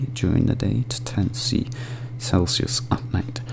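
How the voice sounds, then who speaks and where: Whispering at a fairly slow pace in a gentle tone, the speaker is heard over noticeable background noise. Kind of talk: ASMR gentle reading of facts. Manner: gentle, whispered.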